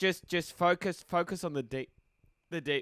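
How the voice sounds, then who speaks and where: A man at a moderate pace, with ordinary pitch variation and a dry, close sound with no echo. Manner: casual, swears.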